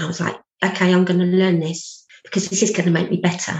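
A woman with a British accent speaks in a fairly low pitch with vocal fry. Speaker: abuse recovery practitioner and speaker. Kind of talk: interview testimony.

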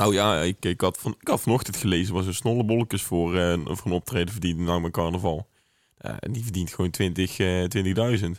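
Very deep and low, this man's voice moves at a fairly quick pace with ordinary pitch variation, recorded dry and close with no echo in a very clean, silent setting. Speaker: podcast co-host. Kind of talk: casual chat.

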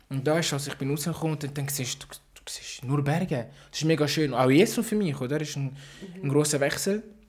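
Speech runs at a fairly quick pace with hardly any pauses. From Paris, France. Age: 20s. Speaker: podcast guest, amateur footballer. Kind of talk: casual chat.

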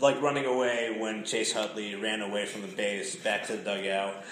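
A man's voice carries audible room echo. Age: 30s. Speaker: sports podcast host. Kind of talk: casual chat.

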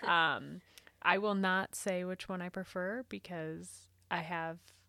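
On a very clean recording with a silent background, a woman with a fairly low pitch and a bright, sharp tone speaks with a Pacific Northwest accent. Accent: Pacific Northwest American. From Eastern Washington. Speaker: podcast co-host. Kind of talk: casual chat.

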